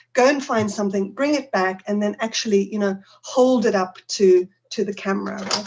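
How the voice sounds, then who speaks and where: Ordinary pitch variation with a South African accent. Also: woman. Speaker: teacher trainer. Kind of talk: conference talk.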